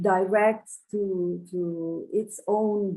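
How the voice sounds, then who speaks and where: A woman's dark, mellow voice at medium pitch with monotone, flat intonation. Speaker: audience member asking a question. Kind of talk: question from audience. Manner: halting, many hesitations.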